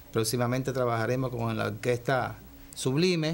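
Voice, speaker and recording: A man speaks at a moderate pace and medium pitch. His intonation stays fairly even, with light background noise. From Cuba. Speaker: saxophonist in a big band. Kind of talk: TV interview; interview answer. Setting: TV studio. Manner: hesitant, with fillers. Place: studio.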